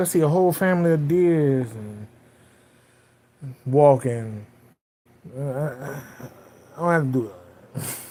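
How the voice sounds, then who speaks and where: This man's voice sits fairly high, with ordinary pitch variation, and his delivery is fairly slow. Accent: Southern US. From US South. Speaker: livestreamer. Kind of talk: casual chat. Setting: home livestream. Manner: animated.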